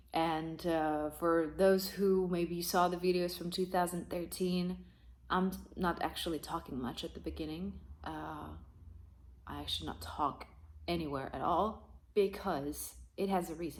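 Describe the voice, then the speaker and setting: This woman talks with a non-native accent. She keeps a fairly slow pace. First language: not English. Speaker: rock singer. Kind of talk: video review monologue. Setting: talking to a camera. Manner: hesitant, many fillers.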